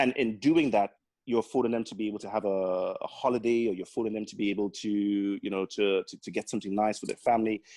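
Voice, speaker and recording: Someone with a Caribbean accent speaks at a very fast pace with big swings in loudness, in a dry, close sound with no echo. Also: man, fairly low pitch for a man. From Grenada (born in Trinidad). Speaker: accountant and business owner. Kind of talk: podcast interview. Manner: lively, full of life.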